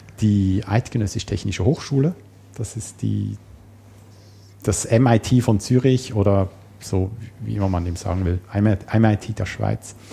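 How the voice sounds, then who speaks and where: At a very slow pace with long, frequent pauses, a man talks in a dark, mellow, somewhat breathy tone at a fairly low pitch with ordinary pitch variation. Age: 40s. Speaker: programmer and system administrator. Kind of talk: casual interview.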